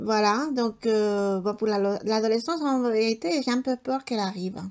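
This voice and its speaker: In a very clean recording with a silent background, a woman with a fairly high pitch speaks at a moderate pace, her pitch varying in an ordinary way and her loudness kept very even. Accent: Spanish. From Spain. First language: Spanish (speaking French). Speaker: homemaker vlogger. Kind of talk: casual vlog chat. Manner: hesitant, many fillers.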